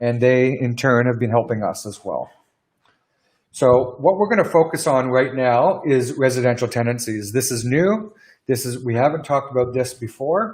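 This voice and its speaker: At a moderate pace, a man with a Canadian accent speaks in an ordinary speaking voice with ordinary pitch variation. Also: medium pitch for a man. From Canada. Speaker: business lawyer. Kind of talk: webinar Q&A presentation. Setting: live stream webinar.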